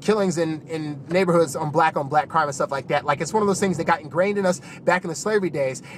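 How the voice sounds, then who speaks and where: Over noticeable background noise, a man with an American accent and a fairly high pitch talks at a very fast pace with ordinary pitch variation. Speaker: YouTube commentator. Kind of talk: casual commentary monologue.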